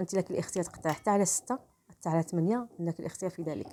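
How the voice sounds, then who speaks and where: A woman's medium-pitched voice with a dark, mellow tone and ordinary pitch variation, in a dry, close sound with no echo. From Morocco. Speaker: cooking channel host. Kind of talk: cooking tutorial voice-over. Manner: halting, frequent restarts and fillers.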